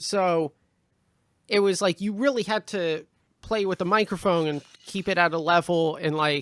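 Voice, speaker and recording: A man speaks loudly at a moderate pace, with long, frequent pauses. His pitch is high for a man, with ordinary variation. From Canada, Prince George, British Columbia. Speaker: stand-up comedian and podcast co-host. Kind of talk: casual chat.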